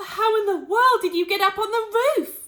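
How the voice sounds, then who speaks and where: A woman puts on a character voice at an extremely high pitch. She keeps a moderate pace with ordinary pitch variation. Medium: read story. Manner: stammering.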